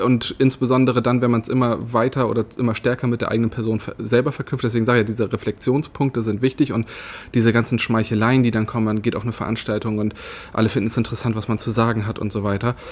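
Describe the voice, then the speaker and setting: Monotone, flat intonation runs through speech delivered at a very fast pace. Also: man, medium pitch for a man. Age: 30s. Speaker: politician. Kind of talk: interview. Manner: frequent filler sounds.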